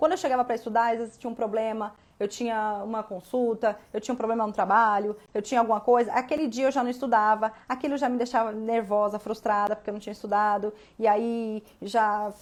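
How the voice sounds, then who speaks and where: Her pitch fairly high, a woman speaks at a fairly quick pace. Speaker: law exam prep teacher. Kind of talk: live stream talk. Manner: fast; animated.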